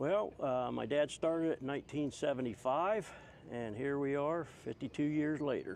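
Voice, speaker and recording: A man talks at a moderate pace in a fairly high pitch with ordinary pitch variation. It is a normal speaking voice. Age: 60s. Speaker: trucking magazine publisher. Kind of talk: casual chat.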